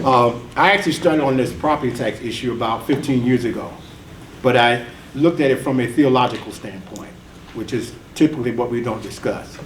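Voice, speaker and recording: A man with an American accent talks at a fairly quick pace and medium pitch with ordinary pitch variation, with audible room echo and noticeable background noise. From US South (Atlanta, Georgia). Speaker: engineer and tax reform activist. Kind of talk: panel discussion remarks. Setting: conference panel with audience.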